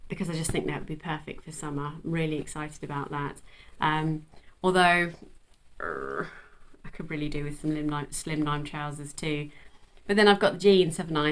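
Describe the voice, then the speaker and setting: A woman's very deep, low-pitched voice at a fairly quick pace. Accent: English. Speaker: sewing vlogger. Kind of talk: casual chat. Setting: at home. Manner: animated.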